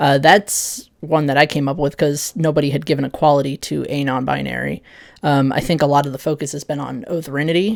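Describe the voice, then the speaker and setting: A woman talks at a fairly quick pace with vocal fry and a very deep, low pitch, her intonation fairly even. The recording is very clean, with a silent background. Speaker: video essayist on gender identity. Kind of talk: casual explainer monologue. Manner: hesitant, many fillers.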